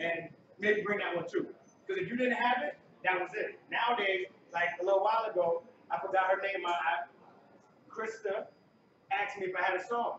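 Speaking at a fairly quick pace but with long, frequent pauses, a man with an American accent and a high pitch keeps his intonation fairly even, amid audible room echo and noticeable background noise. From Connecticut, US. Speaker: DJ; guest. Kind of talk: onstage talk. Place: hall. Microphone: camera far.

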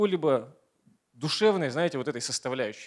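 A man at a very fast pace over a quiet background. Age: 30s. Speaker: motivational speaker, network marketing partner; motivational speaker. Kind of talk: motivational speech. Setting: stage with audience. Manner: energetic. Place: hall. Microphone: handheld.

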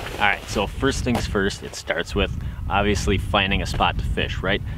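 Noticeable background noise sits behind a dry sound with no echo, and the pitch varies in an ordinary way. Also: man. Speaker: fishing vlogger. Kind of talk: tutorial. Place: open country.

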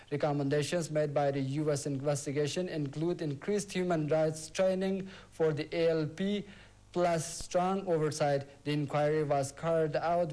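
With a fairly high pitch, very even loudness and fairly even intonation, a man talks at a moderate pace in an ordinary speaking voice. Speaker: news presenter. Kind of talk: news reading, scripted bulletin delivered in a formal, steady broadcast tone. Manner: formal; measured.

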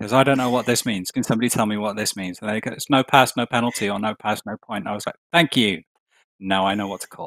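A man with a British accent, very fast pace, fairly low pitch and fairly even intonation, in a dry sound with no echo. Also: quiet background. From UK. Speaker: show producer and teacher; teacher. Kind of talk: casual chat. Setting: video call. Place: home room. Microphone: studio mic.

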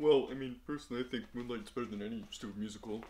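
Over clear background noise, a man talks at a very fast pace. His pitch is medium with ordinary variation. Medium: audio drama. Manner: simple, excitable.

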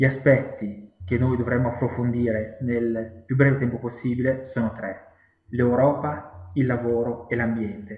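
A man speaks at a medium pitch with fairly even intonation. Audible echo fills the room. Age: 30s. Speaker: political candidate and activist, civil engineer; candidate. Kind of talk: campaign self-presentation video. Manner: hesitant, with fillers and repetitions. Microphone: webcam.

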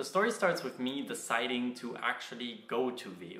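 Audible room echo surrounds a man speaking over faint music in the background. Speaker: university student vlogger. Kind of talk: casual vlog chat. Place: home room.

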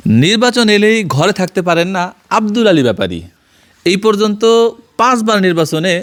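The man's high-pitched voice carries lively intonation. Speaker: journalist. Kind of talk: field interview and report. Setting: on location at interviewee's home.

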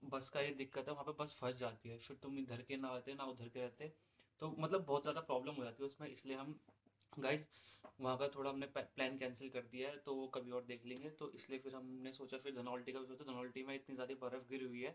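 Monotone and flat, a man talks at a fairly quick pace. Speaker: vlogger. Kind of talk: casual vlog chat. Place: home room. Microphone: phone near.

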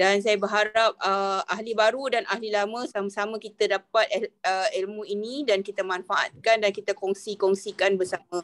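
A woman at a moderate pace with hardly any pauses. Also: fairly even intonation. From Malaysia. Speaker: workshop organiser, lecturer. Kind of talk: welcoming speech. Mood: polite, grateful. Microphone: video call.

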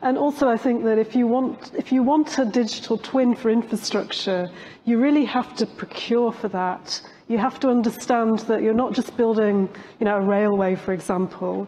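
A woman talks at a moderate pace with a fairly high pitch. Light background noise is present. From UK. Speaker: professor. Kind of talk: conference panel discussion. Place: stage.

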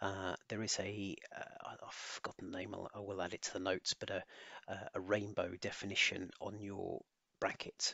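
A man speaks with an English accent. His pitch sits fairly low. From England. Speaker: solution architect. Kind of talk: tutorial.

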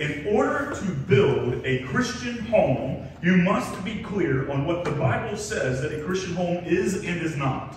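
Under strong room echo and light background noise, a man speaks at a fairly slow pace. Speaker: pastor. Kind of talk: sermon. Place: church.

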